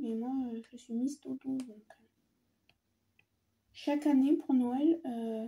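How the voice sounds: A woman speaks slowly in a high-pitched voice with a dark, mellow tone, a husky, rough edge and fairly even intonation.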